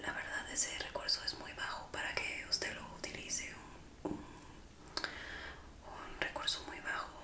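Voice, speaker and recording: A woman is whispering at a moderate pace. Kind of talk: role-play ASMR. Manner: soft, haughty ASMR roleplay voice.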